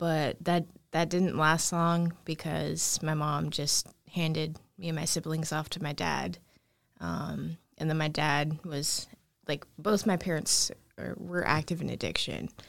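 A woman speaks with a very deep, low pitch and vocal fry, at a fairly slow pace. Her intonation is monotone and flat, on a very clean recording with a silent background. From Alaska, Anchorage. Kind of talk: personal life story interview.

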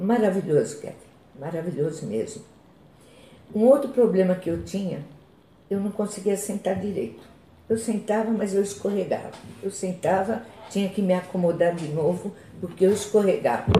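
A woman's voice at a moderate pace, medium in pitch with ordinary pitch variation, broken by long, frequent pauses. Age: 60s. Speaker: chronic pain patient. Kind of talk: testimony.

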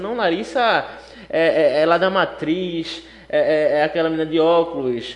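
Pitched high, this man's voice shows ordinary pitch variation. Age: 20s. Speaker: gospel radio host and law student.

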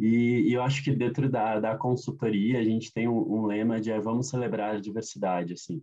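Speaking at a moderate pace with hardly any pauses, a man uses a medium pitch and ordinary pitch variation. His tone is dark and mellow. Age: 30s. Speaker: diversity consultant. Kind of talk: interview. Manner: hesitant, many fillers.

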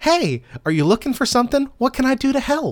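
A put-on character voice at a fairly quick pace. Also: female-sounding voice. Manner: chirpy, eager, cute.

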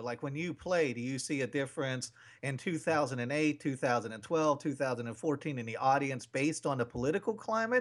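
At a moderate pace, a man with a fairly high pitch talks in a plain, everyday voice, recorded very cleanly against a silent background. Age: 40s. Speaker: radio host. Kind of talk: casual interview chat.

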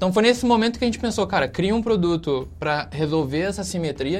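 A man's high voice racing along very fast with ordinary pitch variation, music playing in the background. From Brazil, Rio de Janeiro state (Volta Redonda). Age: 20s. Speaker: startup CEO. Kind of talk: casual interview. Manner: casual, filler-heavy.

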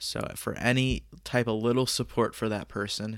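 On a very clean recording with a silent background, a man speaks at a fairly slow pace with fairly even intonation. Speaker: podcaster sharing personal story. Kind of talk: personal storytelling monologue.

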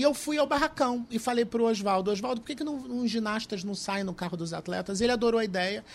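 A man races along at a very fast pace in a high voice, his pitch varying in an ordinary way. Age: 40s. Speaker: former trampoline gymnast, columnist and carnival judge. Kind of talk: casual interview chat.

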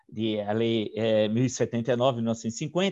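A man's voice over a quiet background. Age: 60s. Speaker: historian and interviewer. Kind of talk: interview. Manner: halting.

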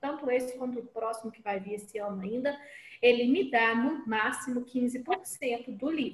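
Ordinary pitch variation marks the speech, which runs at a moderate pace. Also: woman. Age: 30s. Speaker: teacher and writer, podcast panelist. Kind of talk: casual podcast discussion.

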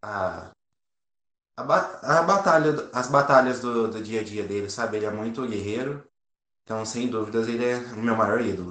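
A man speaks at a fairly slow pace in a medium pitch, his intonation fairly even. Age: 20s. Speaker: firefighter and volunteer. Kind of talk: interview.

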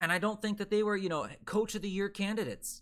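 A man with an American accent at a very fast pace, in a very clean recording with a silent background. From Delaware, US. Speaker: sports podcast host and NFL writer. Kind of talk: solo sports podcast monologue, live streamed. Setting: live stream.

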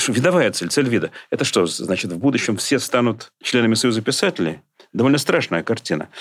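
Swinging very widely in pitch, a man talks at a fairly quick pace. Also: medium pitch for a man. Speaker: professor and poet. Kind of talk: casual interview.

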